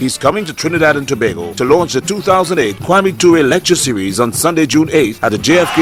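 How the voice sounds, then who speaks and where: A man's fairly high voice, lively in intonation and fairly quick, over noticeable background noise. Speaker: event announcer. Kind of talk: radio event advertisement.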